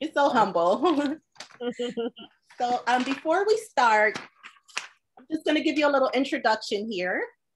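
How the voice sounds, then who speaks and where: Speaking at a moderate pace with long, frequent pauses, a woman uses a high pitch, very wide pitch swings and big swings in loudness. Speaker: talk show host, author. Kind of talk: interview host questions.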